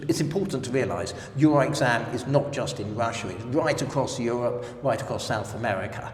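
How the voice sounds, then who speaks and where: A man with a London accent and lively intonation, in audible room echo. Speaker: language exam representative. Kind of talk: interview. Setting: language center.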